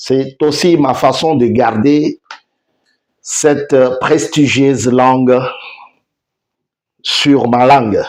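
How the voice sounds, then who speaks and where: With a Congolese accent, a man speaks at a very slow pace with long, frequent pauses, fairly even intonation and very even loudness. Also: medium pitch for a man. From DR Congo. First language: Tshiluba (speaking French). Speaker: online news host. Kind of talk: news commentary show.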